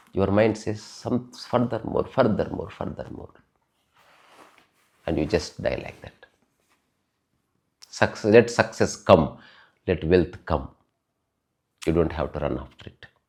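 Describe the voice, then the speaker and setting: A man's fairly low, fry-tinged voice at a fairly slow pace, with lively intonation, big swings in loudness and long, frequent pauses. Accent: Telugu. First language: Telugu. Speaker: spiritual talk podcaster. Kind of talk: spiritual talk.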